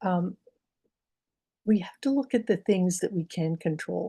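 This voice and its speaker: This woman has a fairly low pitch, a dark, mellow tone and a somewhat breathy quality, with ordinary pitch variation. She talks at a moderate pace, and the sound is dry and close with no echo. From Pittsburgh, Pennsylvania. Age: 70s. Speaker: doctor and health advocate. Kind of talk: webinar presentation with slides.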